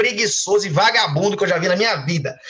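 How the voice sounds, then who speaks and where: The pace of this man's speech is fairly quick. Ordinary pitch variation runs through it. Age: 30s. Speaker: group host and mentor. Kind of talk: live online group session, motivational talk. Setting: video call, streamed live.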